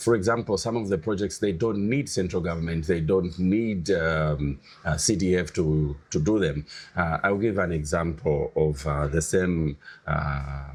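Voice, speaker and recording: At a fairly slow pace, a man talks with a very deep, low pitch, ordinary pitch variation and very even loudness. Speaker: parliamentary candidate. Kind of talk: interview. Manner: forceful.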